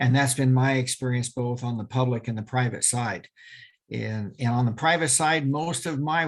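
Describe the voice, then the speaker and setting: This man has a plain, everyday voice. His pitch is medium and his pace is moderate. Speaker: crime scene evidence expert and police officer. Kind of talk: webinar lecture. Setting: video call webinar.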